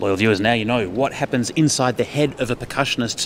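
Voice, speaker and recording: The speaker is a man with an Australian accent. Ordinary pitch variation marks his speech. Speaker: livestream presenter. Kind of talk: live event commentary and interview.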